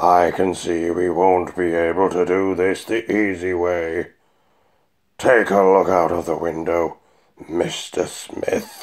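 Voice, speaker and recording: On a very clean recording with a silent background, a man puts on a character voice, very deep and low, at a fairly slow pace. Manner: calm, polite, unhurried, faintly menacing.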